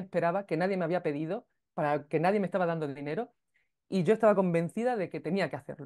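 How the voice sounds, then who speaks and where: Over a quiet background, a woman with a dark, mellow tone and medium pitch talks at a very fast pace with ordinary pitch variation. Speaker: podcast creator and music teacher. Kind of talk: interview. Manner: hesitant, with many fillers.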